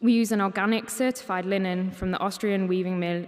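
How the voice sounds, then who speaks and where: Moderately paced female speech, medium in pitch, with ordinary pitch variation, over noticeable background noise. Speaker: paper conservator. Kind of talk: conference talk.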